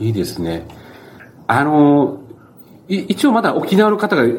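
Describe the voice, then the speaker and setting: The speaker has an Okinawan accent and swings very widely in pitch. Noticeable background noise runs under the voice. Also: man. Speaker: newspaper editor, podcast host. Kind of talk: interview; casual chat.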